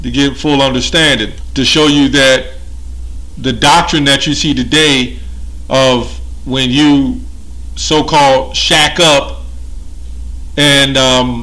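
A man at a very slow pace. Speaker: religious commentator. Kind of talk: lecture-style commentary.

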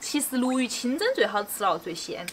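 A woman speaks in a relaxed tone. Her pitch is high. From Nanchong, Sichuan, China. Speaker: home cooking vlogger. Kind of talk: casual cooking tutorial. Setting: home kitchen. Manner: relaxed, chatty. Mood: cheerful, chatty.

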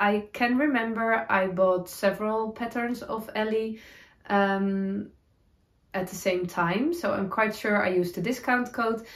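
The room echo is audible. A woman talks at a fairly slow pace with ordinary pitch variation. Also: quiet background. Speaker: knitting podcaster. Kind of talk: casual vlog chat. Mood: cheerful, laughing at times. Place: home room.

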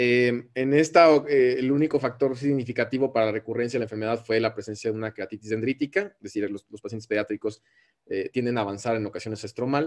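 Over a quiet background, a man with a Mexican accent talks at a very fast pace. His pitch variation is ordinary. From Mexico. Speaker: ophthalmologist. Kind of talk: lecture. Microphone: webcam.

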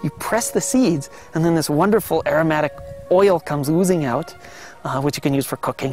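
A man speaks at a very fast pace. Faint music plays in the background. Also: dry sound with no echo. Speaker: interviewee. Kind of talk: interview answer. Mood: enthusiastic, smiling. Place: office.

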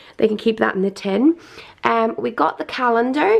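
A woman speaks at a moderate pace, and the background is quiet. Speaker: parent vlogger. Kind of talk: casual vlog chat, product show-and-tell. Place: home room.

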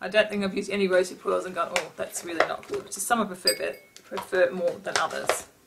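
Over loud background noise, a woman speaks at a very fast pace with hardly any pauses. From Australia. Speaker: beauty vlogger. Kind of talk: casual product review vlog. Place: home room. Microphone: webcam.

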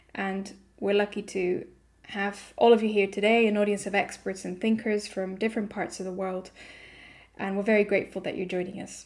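A woman speaks at a fairly quick pace in a flat, monotone delivery against a quiet background. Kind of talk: opening welcome address. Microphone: video call.

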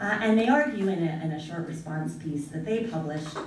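A woman with an American accent speaks at a fairly low pitch with ordinary pitch variation. There is audible room echo and light background noise. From United States. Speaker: international law scholar. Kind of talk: academic conference presentation. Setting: conference room with audience. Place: classroom. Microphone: camera far.

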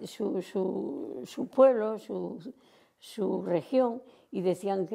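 A woman speaks against a quiet background. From Santander, Cantabria, Spain. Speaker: retired dancer. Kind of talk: oral history interview answer. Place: home room. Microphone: lapel.

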